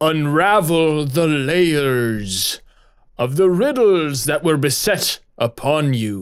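Putting on a character voice, a man talks at a very slow pace with lively intonation and a fairly high pitch for a man, recorded very cleanly against a silent background. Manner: ominous.

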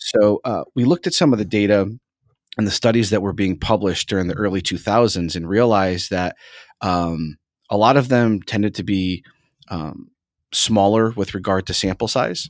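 A man's ordinary speaking voice, fairly low in pitch with ordinary pitch variation and a moderate pace, in a very clean recording with a silent background and a dry, close sound with no echo. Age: 30s. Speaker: exercise science professor. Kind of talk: interview.

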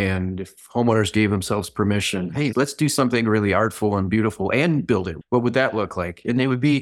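This is a normal speaking voice from a man with an American accent, fairly low in pitch with ordinary pitch variation and a fairly quick pace. The recording is very clean, with a silent background. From Michigan. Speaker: pool and landscape designer. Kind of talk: casual interview.

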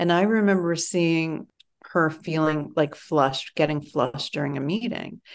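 Here is a woman with a fairly low pitch and an ordinary speaking voice. Her pitch variation is ordinary. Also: moderate pace, quiet background. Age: 40s. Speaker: writer and midlife community founder. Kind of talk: interview conversation.

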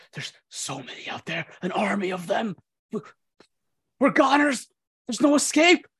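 Man in a put-on character voice, extremely high in pitch, at a moderate pace with long, frequent pauses. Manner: panicked, hopeless.

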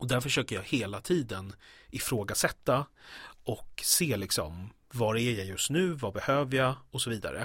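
At a moderate pace, a man talks with lively intonation in a very clean recording with a silent background. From Stockholm, Sweden. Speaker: actor. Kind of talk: casual interview. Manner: hesitant, many fillers.

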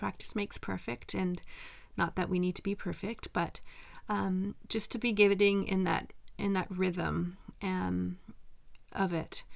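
In a very clean recording with a silent background, a woman with a Canadian accent speaks at a fairly slow pace with long, frequent pauses. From western Canada. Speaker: meditation podcast host. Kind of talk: mindfulness talk; guided meditation. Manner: gentle, calm.

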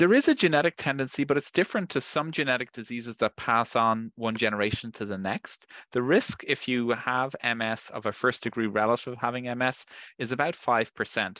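A man speaks in an Irish accent with a bright, sharp tone and ordinary pitch variation. The background is quiet. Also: medium pitch for a man, fairly quick pace, dry, close sound with no echo. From Ireland. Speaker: neurologist. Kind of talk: medical interview.

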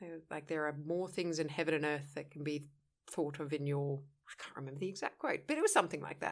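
A woman's very deep, low voice, very fast and monotone with flat intonation, in a very clean recording with a silent background. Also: big swings in loudness. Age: adult. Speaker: podcast co-host. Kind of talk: casual chat.

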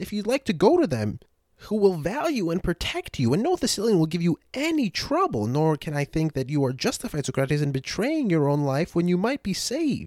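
Delivered rather quickly, the speech comes through on a very clean recording with a silent background. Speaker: podcast host and audiobook reader. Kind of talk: literary audiobook reading of a Platonic dialogue, formal and measured; casual chatty podcast intro and recap. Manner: formal.

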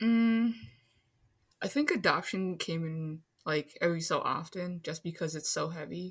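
A woman with an American accent speaks at a moderate pace in a somewhat breathy, fairly low voice with ordinary pitch variation. The recording is very clean, with a silent background. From Minnesota. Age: 20s. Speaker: architecture worker. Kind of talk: casual chat.

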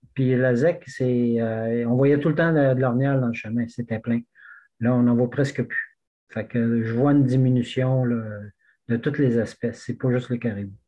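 An ordinary speaking voice at a fairly slow pace, with fairly even intonation. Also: man, medium pitch for a man. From Quebec, Témiscouata region. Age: 60s. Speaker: backcountry skier. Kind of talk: casual chat.

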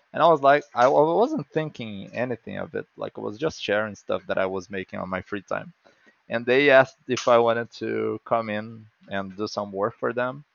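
In a Brazilian Portuguese accent, a man speaks at a moderate pace with medium pitch and lively intonation, the sound dry and close with no echo. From Brazil, small town. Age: 30s. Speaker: comic book artist. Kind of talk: casual interview.

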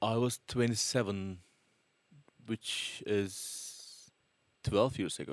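A man with a Turkish accent speaks at a medium pitch and a very slow pace. His intonation is fairly even, with long, frequent pauses. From Turkey. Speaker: multi-instrumentalist musician. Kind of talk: casual interview.

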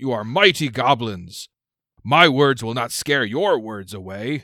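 Putting on a growling character voice, a man speaks at a fairly slow pace with a medium pitch. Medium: actual play. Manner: broken grammar, grandiose, commanding.

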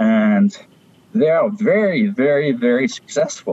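A medium-pitched man with a French accent. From France (Paris). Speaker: stamp dealer. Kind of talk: interview. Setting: video call.

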